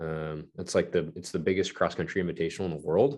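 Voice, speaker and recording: Against a quiet background, a man with an American accent speaks with ordinary pitch variation. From California (Palmdale, LA area). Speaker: cycling sponsorship coordinator and amateur racer. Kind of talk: casual interview.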